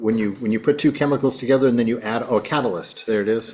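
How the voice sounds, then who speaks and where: Noticeable background noise sits under speech that shows ordinary pitch variation. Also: man. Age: 60s. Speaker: monk giving a lecture. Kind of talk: lecture. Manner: halting, searching for words.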